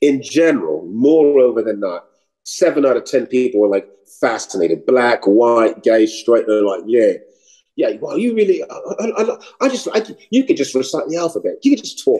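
Moderate-paced speech with an American accent against a quiet background. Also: man. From New York City. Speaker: actor and comedian; actor, comedian. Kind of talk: interview conversation. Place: home room. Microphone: video call.

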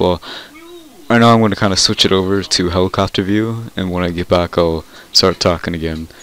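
This man, very deep and low in pitch, keeps a moderate pace while noticeable background noise carries on. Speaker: gaming YouTuber. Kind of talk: casual gaming video commentary. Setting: screen-recorded gameplay with mic. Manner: rambling, halting, informal.

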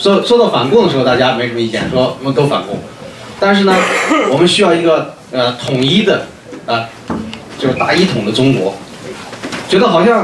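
Over noticeable background noise, a man speaks at a fairly quick pace with very wide pitch swings and long, frequent pauses. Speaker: conference moderator. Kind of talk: conference commentary. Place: meeting room.

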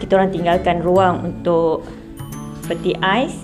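Fairly low female voice at a fairly slow pace, with clear music in the background. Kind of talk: casual vlog chat. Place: home room. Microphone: phone near.

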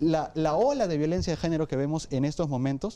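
Very fast speech comes from a man with a fairly high pitch and a dark, mellow tone. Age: 20s. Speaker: psychologist and public policy advocate; council guest. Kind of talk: debate. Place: studio. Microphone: lapel.

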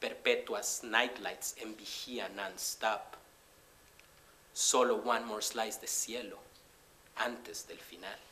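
Speaking at a very slow pace, a man leaves long, frequent pauses, and his loudness swings widely. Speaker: poet. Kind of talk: live spoken-word poetry reading.

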